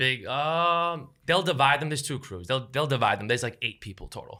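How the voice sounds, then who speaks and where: In a very clean recording with a silent background, a man with a New York accent speaks at a fairly quick pace in a fairly high, bright, sharp voice. His tone is animated, with lively intonation and big swings in loudness. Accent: New York City. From New York City, Lower East Side. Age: 30s. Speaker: content creator. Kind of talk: casual chat.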